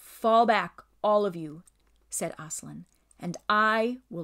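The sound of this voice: Ordinary pitch variation marks an unforced reading voice.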